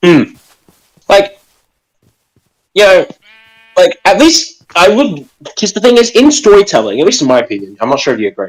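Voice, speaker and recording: In an Australian accent, the speaker moves at a moderate pace with long, frequent pauses. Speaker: live stream co-host. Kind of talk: casual chat.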